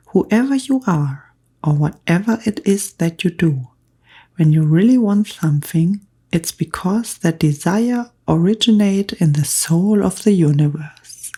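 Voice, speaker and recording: A woman talks at a fairly slow pace in a fairly low, somewhat breathy voice. Her tone is dark and mellow, and her intonation is lively. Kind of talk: audiobook reading. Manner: soft-spoken, whispered, calm.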